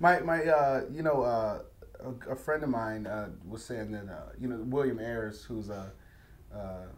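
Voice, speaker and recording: Amid audible room echo, a man with an American accent and a medium pitch talks at a fairly slow pace, with ordinary pitch variation and big swings in loudness. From Detroit, Michigan, US Midwest. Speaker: poet. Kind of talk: interview. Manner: halting, many fillers.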